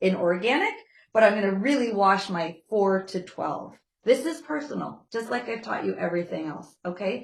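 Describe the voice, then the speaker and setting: A woman talks at a fairly quick pace with lively intonation. Hers is an unremarkable speaking voice. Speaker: nutrition class instructor. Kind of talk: lecture. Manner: conversational, checking in with class.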